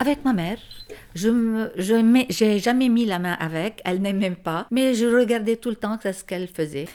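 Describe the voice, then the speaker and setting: The speech comes at a fairly slow pace with ordinary pitch variation, over noticeable background noise. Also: woman, fairly high pitch for a woman. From Lebanon. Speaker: homemaker and mother. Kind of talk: casual chat.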